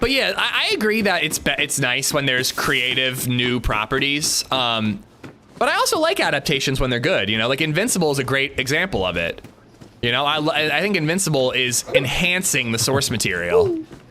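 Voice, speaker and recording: A man's fairly high voice, full of lively intonation, moves at a fairly quick pace while noticeable background noise is heard. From US Pennsylvania. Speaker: gaming streamer. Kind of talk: casual chat.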